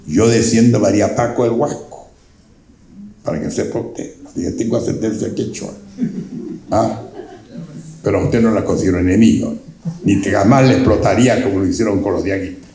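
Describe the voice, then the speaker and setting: Here a man of medium pitch speaks at a moderate pace with ordinary pitch variation. Long, frequent pauses break up his speech, and audible room echo surrounds it. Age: 80s+. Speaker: invited speaker, elder local historian. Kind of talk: public talk to an audience.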